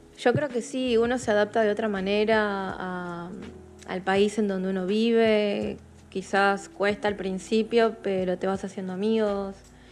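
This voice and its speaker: Music plays behind a woman speaking at medium pitch. She talks fairly slowly with fairly even intonation. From Peru (Chiclayo), raised partly in Argentina. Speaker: photographer. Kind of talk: interview.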